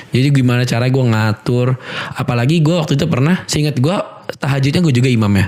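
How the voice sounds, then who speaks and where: Amid noticeable background noise, a man of medium pitch speaks very fast with very even loudness and ordinary pitch variation. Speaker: MC and podcaster. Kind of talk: casual podcast chat. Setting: studio. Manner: slightly hurried, not using belly breathing.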